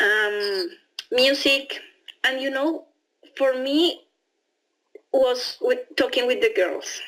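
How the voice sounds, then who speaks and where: In a Spanish accent, the speaker goes at a very slow pace. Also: woman. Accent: Spanish accent when speaking English. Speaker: au pair. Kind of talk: interview testimony. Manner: halting, with repetitions and fillers.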